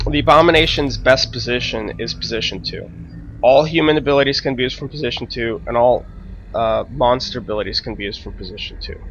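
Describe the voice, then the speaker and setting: Noticeable background noise sits behind a man who talks at a very fast pace with big swings in loudness. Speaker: gaming commentator. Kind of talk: gameplay commentary. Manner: hesitant, many fillers.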